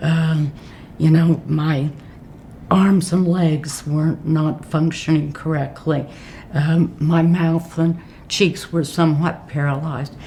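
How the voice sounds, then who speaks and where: A woman with an American accent speaks very slowly in a flat monotone at a very deep, low pitch, with noticeable background noise. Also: very even loudness. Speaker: retired judge. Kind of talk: oral history interview.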